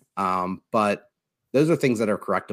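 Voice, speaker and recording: At a moderate pace, the speaker uses a normal speaking voice. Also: man. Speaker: sports podcast host. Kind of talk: casual sports talk. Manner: filler-heavy, casual.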